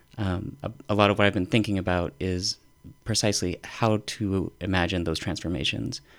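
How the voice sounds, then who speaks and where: A man with an American accent speaks at a moderate pace, his very deep, low pitch showing vocal fry and ordinary variation. The recording is very clean, with a silent background. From northern Utah. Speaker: professor. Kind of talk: casual chat.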